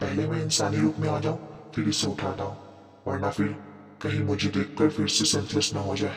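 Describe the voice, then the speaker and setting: With strong echo and clear background noise, a woman does a put-on character voice at a fairly quick pace. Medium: read story. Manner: soft, earnest, polite.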